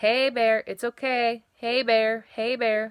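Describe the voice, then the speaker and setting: Speaking in a put-on character voice, a woman keeps a monotone, flat intonation. Her pace is very slow. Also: fairly high pitch for a woman. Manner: calm, soothing, reassuring.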